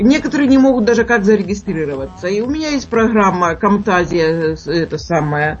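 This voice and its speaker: Music plays behind a woman of medium pitch speaking at a moderate pace. Her pitch swings very widely, and she hardly pauses at all. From Urals, Russia. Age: 60s. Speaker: cooking video blogger and chef. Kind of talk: radio interview.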